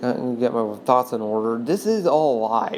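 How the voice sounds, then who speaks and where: Fairly slow speech from a woman, amid noticeable background noise and audible room echo. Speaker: video commentator. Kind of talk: unscripted monologue. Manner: halting, stuttering.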